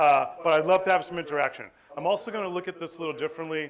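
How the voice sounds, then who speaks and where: A man with a Boston accent talking at a very fast pace over noticeable background noise. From Boston, Massachusetts. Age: 40s. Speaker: animal welfare regional director. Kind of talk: conference talk. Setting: stage with audience. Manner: casual, joking.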